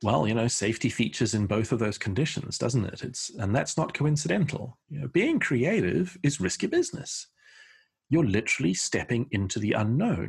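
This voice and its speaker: Somewhat breathy, a man talks at a moderate pace with lively intonation. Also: medium pitch for a man. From South Africa. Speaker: creativity consultant. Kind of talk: interview.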